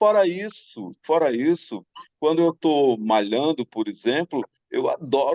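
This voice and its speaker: The sound is dry and close with no echo. A man speaks very slowly at a fairly high pitch. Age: 60s. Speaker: singer-songwriter. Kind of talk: talk show panel discussion. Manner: halting.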